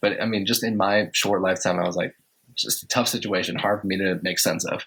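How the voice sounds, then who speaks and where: A man with an American accent talks at a very fast pace. His intonation is monotone and flat. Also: fairly low pitch for a man. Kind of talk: interview. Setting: podcast. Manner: limited volume; hesitant, many fillers.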